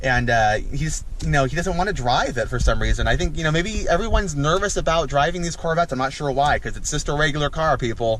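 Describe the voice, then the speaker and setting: Speaking very fast with hardly any pauses, a man with a fairly high pitch and ordinary pitch variation is heard over noticeable background noise and audible room echo. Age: 20s. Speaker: car vlogger. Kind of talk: casual vlog. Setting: in a car. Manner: halting.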